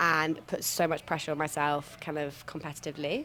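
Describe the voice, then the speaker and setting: A woman with a British accent speaks at a moderate pace in a very deep, low pitch. Her tone is bright and sharp, and her intonation stays monotone and flat. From United Kingdom. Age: 20s. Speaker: ultra runner. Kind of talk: interview.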